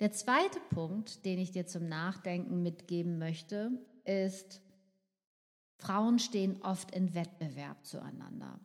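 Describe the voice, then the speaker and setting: The woman's pitch sits in the middle of her range. She talks at a very slow pace with fairly even intonation. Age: 50s. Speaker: podcast host, nutritionist. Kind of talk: solo podcast monologue.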